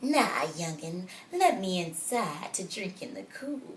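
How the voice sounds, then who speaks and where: A woman puts on a shrill character voice at a medium pitch. She goes at a fairly slow pace over clear background noise. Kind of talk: storytime read-aloud. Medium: read story. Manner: rude, bossy.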